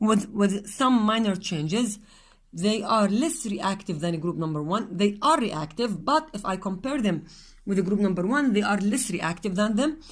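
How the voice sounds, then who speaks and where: A woman's medium-pitched, somewhat breathy voice, fairly slow and with lively intonation, in audible room echo. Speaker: chemistry teacher. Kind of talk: lecture.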